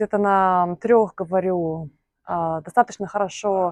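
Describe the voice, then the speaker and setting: A woman speaks at a medium pitch. The sound is dry and close with no echo. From Belarus. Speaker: polyglot vlogger, software engineer. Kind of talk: personal vlog monologue. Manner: hesitant, many fillers.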